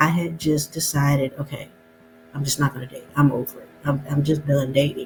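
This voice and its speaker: A woman with an American accent, very deep and low in pitch, in a monotone, flat delivery over background music. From US South, North Alabama. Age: 50s. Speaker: YouTube talk show host. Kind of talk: casual vlog monologue.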